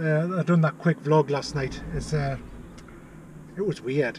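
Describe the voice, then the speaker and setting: Light background noise can be heard. A man does the talking. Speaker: vlogger. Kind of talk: casual vlog chat. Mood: relaxed, taking a break. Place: car. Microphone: phone near.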